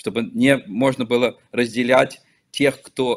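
This is a man's voice. His intonation is fairly even. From Belarus, Vitebsk; Belarus. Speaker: local politician and activist; guest. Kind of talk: interview. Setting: remote call. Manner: halting. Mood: earnest, serious. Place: office. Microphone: video call.

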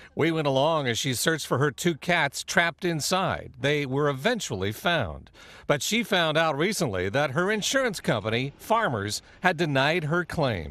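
A man with a fairly high voice, a bright, sharp tone and vocal fry talks at a moderate pace, his pitch swinging very widely. His loudness stays very even, he hardly pauses, and the recording is very clean with a silent background. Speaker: TV news reporter. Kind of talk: TV news report narration.

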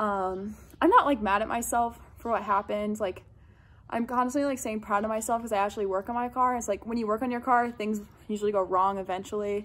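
Her intonation stays fairly even as a woman speaks at a fairly quick pace. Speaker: vlogger. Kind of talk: casual vlog chat. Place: garage. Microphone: phone near.

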